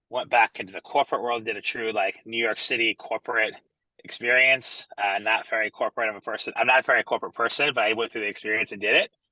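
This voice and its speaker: A man talks very fast with an energetic tone and an American accent. The sound is dry and close, with no echo. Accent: American, noticeable. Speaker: entrepreneur and branding speaker. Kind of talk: online presentation. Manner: energetic, casual.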